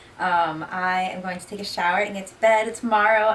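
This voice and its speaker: In a room with audible echo, a woman at medium pitch speaks at a moderate pace with fairly even intonation. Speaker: cannabis lifestyle YouTuber. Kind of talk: casual vlog chat. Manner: mumbling.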